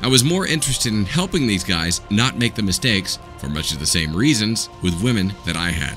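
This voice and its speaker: A man with an American accent, fairly quick and with hardly any pauses, his pitch swinging very widely over music in the background. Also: fairly low pitch for a man. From Southern United States. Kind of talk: audiobook narration. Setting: home recording, unedited.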